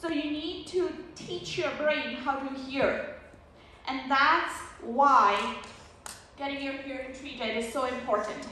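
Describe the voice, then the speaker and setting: A raised, projected voice moves at a very slow pace with long, frequent pauses. Noticeable background noise and audible room echo surround it. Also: woman, high pitch for a woman, ordinary pitch variation. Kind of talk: lecture. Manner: conversational.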